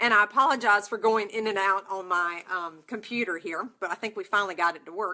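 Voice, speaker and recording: Speaking at a moderate pace, a woman has a medium pitch and a bright, sharp tone. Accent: North Carolina. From North Carolina, US South. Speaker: nursing exam prep instructor. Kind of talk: live webinar talk. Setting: online broadcast from computer. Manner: animated.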